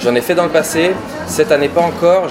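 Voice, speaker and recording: A man speaks with noticeable background noise and audible echo in the room. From France, Lyon. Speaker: bar manager. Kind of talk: interview. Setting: in a bar.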